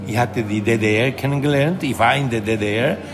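A man with a Spanish accent talks at a fairly slow pace with ordinary pitch variation. Music plays in the background, and room echo is audible. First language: Spanish (speaking German). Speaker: professor. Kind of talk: interview. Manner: halting, many fillers.

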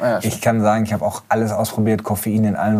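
This man's voice is dark and mellow, sitting at a fairly low pitch. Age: 40s. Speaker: motoring journalist and editor. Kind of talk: casual chat.

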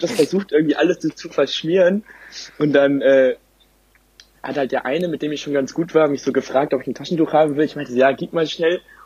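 A man with a normal speaking voice, pitched fairly high, talks at a fairly quick pace with fairly even intonation in a dry, close sound with no echo. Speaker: podcast co-host. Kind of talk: casual chat.

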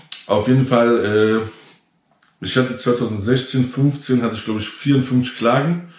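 Audible room echo follows a man speaking very slowly at medium pitch. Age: 30s. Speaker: entrepreneur and online content creator. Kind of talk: casual direct-to-camera vlog monologue. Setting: self-recorded GoPro video. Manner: tired, low-energy delivery; many filler sounds (ähm, äh).

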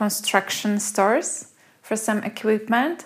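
Very slow delivery in a Polish accent. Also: woman. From Poland. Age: 40s. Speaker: food blogger. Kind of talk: casual chat.

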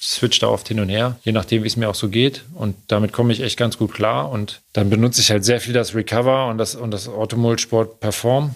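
With an ordinary speaking voice, a man talks at a fairly quick pace and medium pitch, fairly even intonation and hardly any pauses, on a very clean recording with a silent background. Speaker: Olympic canoe athlete. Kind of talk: interview.

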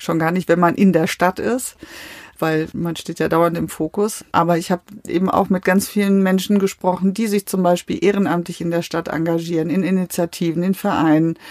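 The woman's voice is fairly low and monotone, with flat intonation, at a moderate pace. The sound is dry and close, with no echo. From Westphalia, Germany. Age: 50s. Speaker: politician. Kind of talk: interview. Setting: small recording room.

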